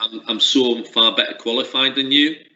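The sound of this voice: Bright and sharp in tone, a man speaks at a medium pitch and a moderate pace with fairly even intonation.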